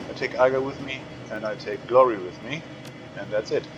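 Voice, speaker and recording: A man's medium-pitched voice at a moderate pace, ordinary pitch variation, and noticeable background noise. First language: German. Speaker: gamer. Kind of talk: let's play commentary.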